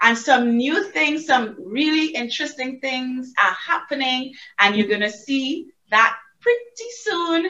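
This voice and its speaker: A raised, projected voice with a bright, sharp tone moves at a fairly slow pace through very wide pitch swings. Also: woman, high pitch for a woman. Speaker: obstetrician-gynecologist. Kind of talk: interview.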